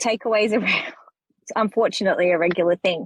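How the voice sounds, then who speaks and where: Dry and close with no echo, the recording carries a woman with an Australian accent. Her pitch is medium with ordinary variation. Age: 30s. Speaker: podcast guest, mother with ADHD. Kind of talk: casual chat.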